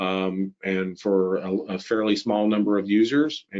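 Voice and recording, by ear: Low in pitch, a man speaks at a moderate pace with fairly even intonation.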